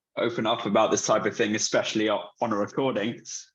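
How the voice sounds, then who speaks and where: A man with a British accent speaks at a moderate pace in a medium pitch. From UK. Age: 20s. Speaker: patient advocate with Duchenne. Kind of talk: panel discussion. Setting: video call.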